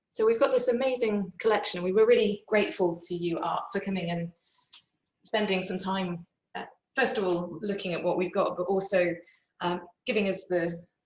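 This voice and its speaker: A woman with a medium pitch uses an ordinary speaking voice, keeping a moderate pace and ordinary pitch variation. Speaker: museum curator. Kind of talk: interviewer.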